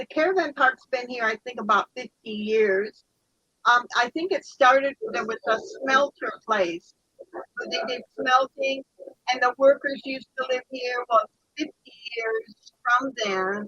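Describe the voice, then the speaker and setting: A woman's high, raised and projected voice, bright and sharp in tone, with lively intonation, big swings in loudness and a fairly slow pace, in a dry, close sound with no echo. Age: 70s. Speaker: chat participant. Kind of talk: casual chat.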